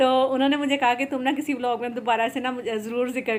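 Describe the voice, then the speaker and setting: Her pitch is high for a woman, and her intonation is fairly even. She speaks at a moderate pace. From Pakistan, Punjabi. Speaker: cooking and lifestyle vlogger. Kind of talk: casual vlog narration while cooking. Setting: home kitchen.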